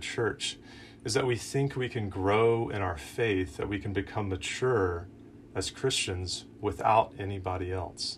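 A man's somewhat breathy voice at a fairly slow pace, with ordinary pitch variation. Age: 30s. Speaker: campus minister / preacher. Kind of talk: sermon. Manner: casual, conversational with fillers.

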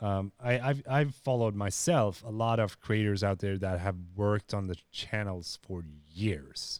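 A man speaks at a fairly slow pace with a fairly low pitch and ordinary pitch variation, on a very clean recording with a silent background. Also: hardly any pauses. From Sweden. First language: Swedish. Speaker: YouTube creator. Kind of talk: casual interview.

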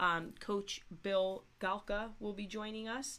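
A woman speaks slowly in a raspy voice at a medium pitch. Her tone is fairly bright.

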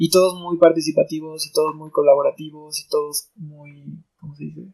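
A man at a fairly slow pace. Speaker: percussionist. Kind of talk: casual chat.

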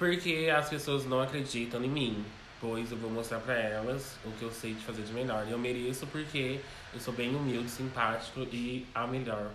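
Moderate pace and fairly even intonation from a man, with audible room echo and noticeable background noise. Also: medium pitch for a man. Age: 20s. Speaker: drag queen, pageant contestant. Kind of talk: interview. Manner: calm.

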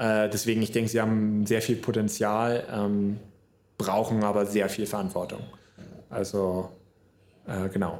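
Speaking at a fairly slow pace, a man with a fairly low pitch keeps a monotone, flat intonation and very even loudness, leaving long, frequent pauses. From northern Germany, near Hamburg. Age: 20s. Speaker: podcaster. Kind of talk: solo podcast monologue. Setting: solo podcast recording. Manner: casual, many fillers.

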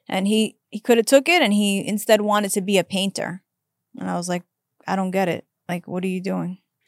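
A woman with an American accent, an ordinary speaking voice and medium pitch talks at a fairly quick pace with fairly even intonation, in a dry, close sound with no echo. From New York. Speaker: podcast host. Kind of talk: casual interview chat.

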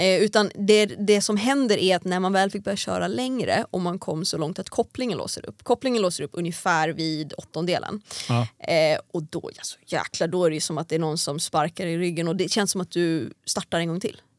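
Speaking at a fairly quick pace with hardly any pauses, a woman with an unremarkable speaking voice uses lively intonation, recorded with a dry, close sound and no echo. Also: medium pitch for a woman. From Sweden, Järfälla near Stockholm, then Åland from age 12. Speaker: drag racing driver. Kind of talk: casual interview chat. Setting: studio.

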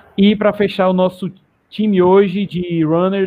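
This man's voice sits high in pitch. His intonation stays fairly even. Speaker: running channel host. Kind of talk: casual live stream chat. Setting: online live stream.

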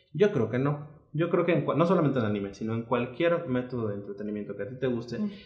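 A man talks at a very fast pace in a medium pitch, with hardly any pauses. Noticeable background noise sits under his voice. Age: 30s. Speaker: lawyer, anime fan. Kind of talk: casual chat.

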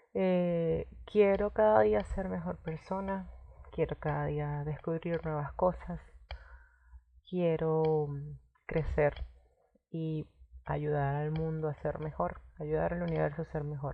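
A woman speaking at a very slow pace, with long, frequent pauses. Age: 20s. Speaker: podcaster. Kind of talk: casual monologue.

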